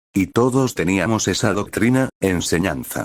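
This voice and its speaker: Delivered at a moderate pace with ordinary pitch variation, a plain, everyday voice comes through in a very clean recording with a silent background. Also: man. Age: 60s. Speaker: retired pastor. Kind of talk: preaching.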